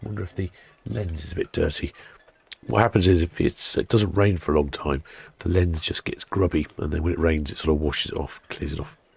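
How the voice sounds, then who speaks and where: Speaking at a fairly quick pace, the man has a very deep, low pitch. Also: ordinary pitch variation, dry, close sound with no echo. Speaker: live stream ship-watching host. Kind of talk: live stream chat. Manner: casual, chatty.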